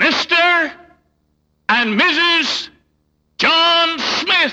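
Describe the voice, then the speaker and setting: Extremely high pitch in a put-on character voice. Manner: stately, formal.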